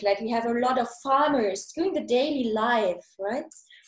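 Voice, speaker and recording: A woman with a German accent, high-pitched, at a moderate pace with ordinary pitch variation. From Germany. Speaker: podcast host. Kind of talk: interview. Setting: video call.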